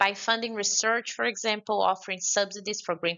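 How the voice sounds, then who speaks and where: With a Brazilian accent, a woman speaks at a medium pitch with fairly even intonation. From Brazil, Belo Horizonte. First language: Portuguese. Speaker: conference speaker on climate finance. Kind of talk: conference speech. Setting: remote address to a forum.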